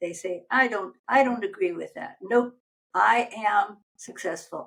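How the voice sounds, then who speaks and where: A woman with vocal fry, ordinary pitch variation and a moderate pace. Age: 80s+. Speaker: aging coach. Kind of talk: interview.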